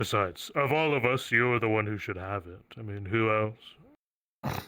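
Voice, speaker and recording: A man's put-on character voice at medium pitch and moderate pace, in a very clean recording with a silent background. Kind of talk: roleplay villain speech. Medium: game stream. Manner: formal, archaic phrasing; measured, ominous.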